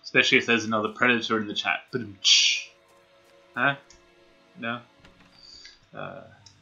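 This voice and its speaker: A man talks at a moderate pace and medium pitch, his intonation monotone and flat, with long, frequent pauses. His loudness swings widely, and music plays in the background. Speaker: gaming streamer. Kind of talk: live gameplay stream chat. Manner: casual, hesitant with many fillers.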